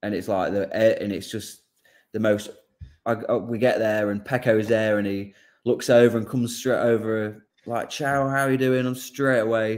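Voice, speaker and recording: A man with an English accent talks at a moderate pace, his medium pitch kept in fairly even intonation. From England. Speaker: motorcycle racer. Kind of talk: casual chat. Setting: video call.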